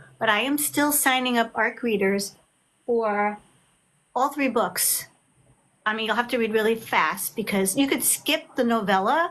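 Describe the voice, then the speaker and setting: Fairly high-pitched and animated, a woman speaks at a fairly slow pace with ordinary pitch variation and long, frequent pauses. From Long Island, New York. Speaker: author. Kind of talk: casual chat. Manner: loud.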